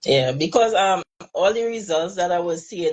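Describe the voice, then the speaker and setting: A woman speaks with a Trinidadian accent. Her pitch variation is ordinary. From Trinidad and Tobago. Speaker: hairstylist. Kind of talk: live interview.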